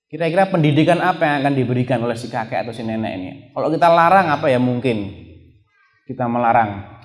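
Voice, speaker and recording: Delivered at a very fast pace, the speech has ordinary pitch variation. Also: man. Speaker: Islamic preacher giving a lecture. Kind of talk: Islamic religious lecture (pengajian) reviewing a book.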